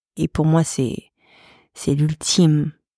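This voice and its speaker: A woman's very deep, low voice with a dark, mellow tone, fairly even intonation and a very slow pace, in a dry, close sound with no echo and a very clean recording with a silent background. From Paris, France. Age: 40s. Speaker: photographer and artist. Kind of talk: interview. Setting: studio.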